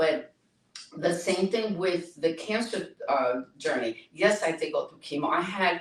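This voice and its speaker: A woman speaks at a medium pitch. Her pitch swings very widely. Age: 70s. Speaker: speaker and cancer survivor advocate. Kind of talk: interview testimony. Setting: podcast interview.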